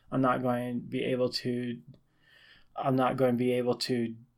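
A man's medium-pitched voice proceeds at a moderate pace. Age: 20s. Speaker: self-help podcaster. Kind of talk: solo monologue podcast. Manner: casual, halting with fillers.

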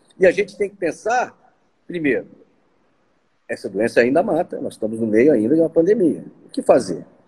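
A man speaks at a moderate pace with vocal fry. His fairly high-pitched voice moves in very wide pitch swings. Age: 60s. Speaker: physician. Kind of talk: interview.

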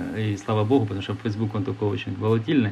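A man talks at a very fast pace with a fairly low pitch. His voice is somewhat breathy. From Ukraine. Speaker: entrepreneur. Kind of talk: interview. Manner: hesitant with fillers.

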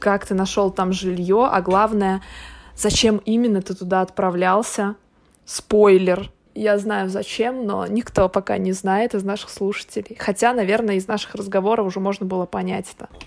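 A woman with a medium-pitched voice talks at a moderate pace in a flat, monotone way. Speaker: podcast host. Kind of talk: casual chat.

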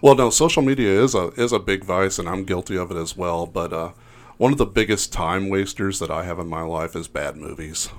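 A man with a very deep, low voice speaks at a fairly quick pace. His pitch varies in an ordinary way, and the recording is very clean with a silent background. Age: 50s. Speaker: stand-up comedian. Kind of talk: casual interview chat.

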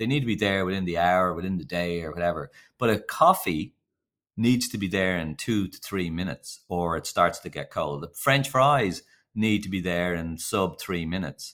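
Here a man speaks with a Dublin accent at a moderate pace. His pitch is very deep and low. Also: ordinary pitch variation. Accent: Irish (Dublin). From Ireland. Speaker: company founder and CEO. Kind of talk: casual interview chat. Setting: video call remote.

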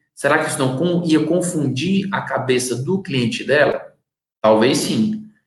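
With audible room echo, a man speaks at a fairly slow pace in a fairly high voice. His intonation is lively. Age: 30s. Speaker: marketing consultant. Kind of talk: live-streamed lecture.

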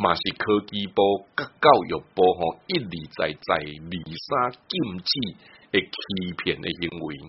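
This man's very deep, low voice moves at a fairly slow pace, with ordinary pitch variation and long, frequent pauses. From Taiwan. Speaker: radio host. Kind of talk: radio talk show chat.

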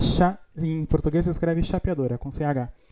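A man speaks in a dark, mellow tone at a moderate pace. His intonation stays fairly even. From Brazil, Rio Grande do Sul interior. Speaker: podcast host. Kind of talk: casual chat.

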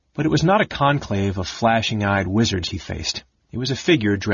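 An unforced reading voice comes through over a quiet background.

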